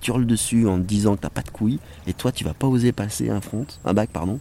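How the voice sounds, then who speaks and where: Sounding animated, a man talks at a fairly quick pace and a fairly low pitch with ordinary pitch variation. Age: 40s. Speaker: former ski racer and filmmaker. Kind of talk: casual interview. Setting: outdoors by a lake.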